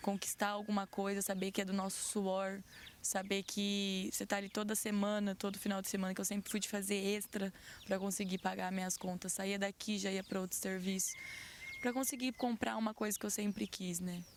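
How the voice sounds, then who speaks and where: A woman at medium pitch and moderate pace, with monotone, flat intonation and very even loudness. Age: 20s. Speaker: crime victim, worker. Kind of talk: interview testimony.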